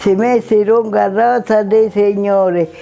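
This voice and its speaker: Noticeable background noise sits behind a woman who speaks at a fairly slow pace with a medium pitch and fairly even intonation. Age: 80s+. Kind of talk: telling a traditional saint's tale.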